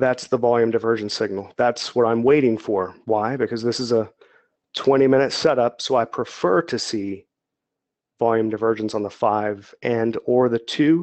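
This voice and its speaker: Speaking at a moderate pace, a man keeps a medium pitch and fairly even intonation. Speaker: trader and trading educator. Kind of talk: webinar tutorial. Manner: monotone; halting, with stumbles.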